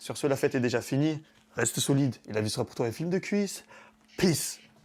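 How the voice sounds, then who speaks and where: This voice has an animated tone and lively intonation, with a Marseille accent and a fairly quick pace. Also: man, fairly high pitch for a man. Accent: southern French (Marseille area). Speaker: fitness YouTuber and coach. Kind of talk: casual vlog monologue.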